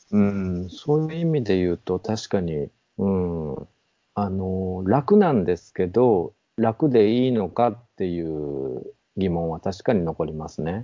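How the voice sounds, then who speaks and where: With lively intonation, a man talks at a fairly slow pace in a very deep, low pitch. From Nabari, Mie (near Nara, Kansai). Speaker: bookshop owner. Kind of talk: casual conversation.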